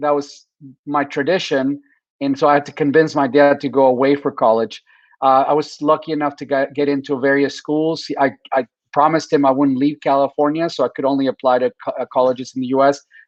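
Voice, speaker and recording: A man with a Spanish accent, fairly high pitch for a man, fairly quick pace and monotone, flat intonation. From Mexico City, Mexico; teens in San Diego. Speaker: tech professional. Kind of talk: interview. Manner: halting, many fillers and restarts.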